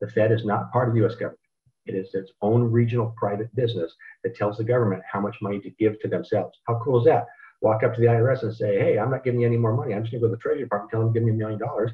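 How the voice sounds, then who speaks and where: His medium-pitched male voice races along at a very fast pace. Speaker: financial educator. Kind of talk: webinar presentation. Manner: animated.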